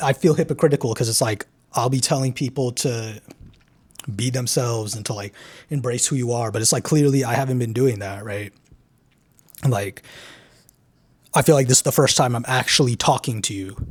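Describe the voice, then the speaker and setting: At a fairly quick pace, a man talks with a medium pitch, ordinary pitch variation, and a somewhat breathy quality in a very clean recording with a silent background. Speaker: YouTuber, self-improvement channel. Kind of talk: candid vlog monologue. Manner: halting, with stutters and pauses; casual, heavy filler words.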